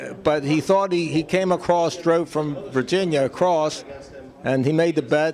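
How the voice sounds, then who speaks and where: A man with a fairly high voice talks at a moderate speed while noticeable noise carries on in the background. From Baltimore, Maryland, US. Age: 70s. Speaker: pool player and gambler. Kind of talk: interview storytelling. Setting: pool tournament event. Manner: casual, filler-heavy.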